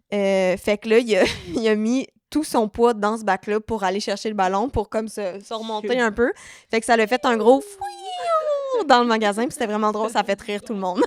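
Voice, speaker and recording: Speaking at a moderate pace in a Quebec accent, a woman with a fairly high voice sounds animated, the sound dry and close with no echo. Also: ordinary pitch variation. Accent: Québécois French. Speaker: podcast co-host. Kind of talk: casual chat.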